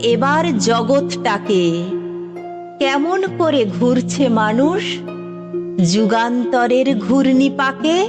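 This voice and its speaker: With music in the background, a woman speaks in a fairly high pitch with lively intonation. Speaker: poetry reciter. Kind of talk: poetry reading.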